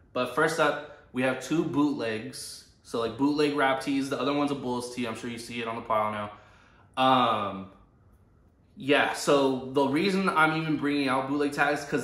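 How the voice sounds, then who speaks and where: A man speaks at medium pitch and a moderate pace. Audible room echo surrounds his voice. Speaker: vintage clothing reseller / thrift vlogger. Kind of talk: casual unscripted tutorial. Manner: rambling filler-heavy speech.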